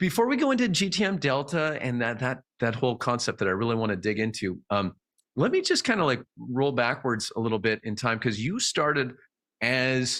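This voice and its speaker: A man with a Canadian accent has a normal speaking voice at medium pitch. He talks at a fairly quick pace with lively intonation in a very clean recording with a silent background. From Canada. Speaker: podcast host. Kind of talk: interview conversation.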